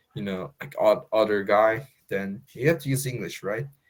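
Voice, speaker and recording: Speaking with a strong American accent, a man talks at a fairly low pitch and a moderate pace. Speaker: English learner. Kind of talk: casual chat. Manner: halting.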